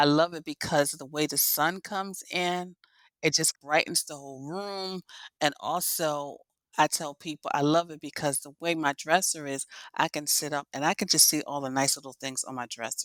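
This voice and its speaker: A woman speaks with a very deep, low pitch and big swings in loudness. The sound is dry and close, with no echo. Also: fairly even intonation, moderate pace. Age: 60s. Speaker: professional organizer. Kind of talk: casual chat.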